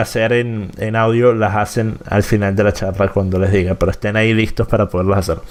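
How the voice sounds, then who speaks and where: A man speaks at a moderate pace with a medium pitch in an unremarkable speaking voice. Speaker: political commentator and show host. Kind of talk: live-streamed interview. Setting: live stream with chat.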